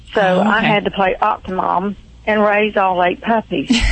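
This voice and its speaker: With a Georgia accent, a woman speaks at medium pitch with fairly even intonation over noticeable background noise. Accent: Southern US, Georgia. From Thomasville, Georgia. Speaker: radio call-in caller. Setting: phone.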